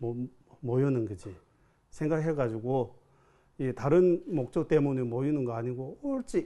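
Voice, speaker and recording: A man with a Tibetan accent speaks fairly slowly at a medium pitch, with ordinary pitch variation and a dark, mellow tone. He takes long, frequent pauses. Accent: Tibetan-accented Korean. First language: Tibetan (speaking Korean). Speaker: Buddhist monk teacher. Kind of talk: dharma talk. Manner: halting.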